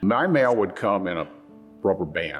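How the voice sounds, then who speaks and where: Music plays in the background as a man talks at a fairly slow pace. He has an American accent. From South Dakota. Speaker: Vietnam War veteran. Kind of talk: interview answer.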